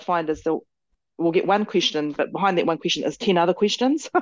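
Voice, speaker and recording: Over a quiet background, a woman with a New Zealand accent talks at a very fast pace, her medium pitch showing ordinary variation. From New Zealand (Māori, Tauranga and Motueka). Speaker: company director and general manager. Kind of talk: interview. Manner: hesitant fillers.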